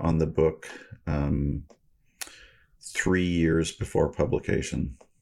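On a very clean recording with a silent background, a man with an American accent speaks very slowly in a very deep, low pitch with vocal fry. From Washington State, Federal Way area. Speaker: author. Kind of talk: casual chat.

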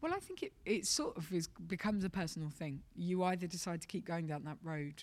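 On a very clean recording with a silent background, a woman with a fairly low pitch talks at a fairly quick pace in an English accent, her pitch varying in an ordinary way. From London, England. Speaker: stand-up comedian. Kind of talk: interview.

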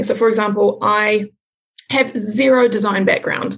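A woman speaks in a New Zealand accent. Her pitch is fairly high, with vocal fry. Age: 20s. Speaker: small business owner. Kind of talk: casual interview.

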